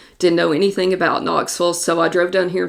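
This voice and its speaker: A woman speaks with a Southern US accent. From Kentucky, Somerset. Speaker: real estate agent. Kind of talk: podcast monologue. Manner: casual, conversational.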